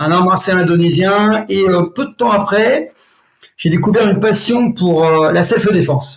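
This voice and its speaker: A man speaks in a high pitch. His pitch variation is ordinary. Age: 60s. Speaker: martial arts instructor. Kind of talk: interview. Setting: podcast.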